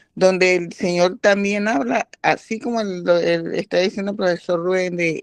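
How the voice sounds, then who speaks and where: A woman speaks at a fairly low pitch and moderate pace with fairly even intonation, the sound dry and close without echo. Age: 60s. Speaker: participant in bible health class. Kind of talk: group discussion. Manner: halting.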